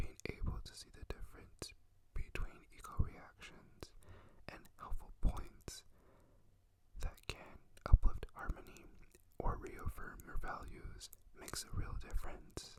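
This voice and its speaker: A man whispers at a fairly slow pace, leaving long, frequent pauses. His loudness swings widely. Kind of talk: poetry reading. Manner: whispered, soft.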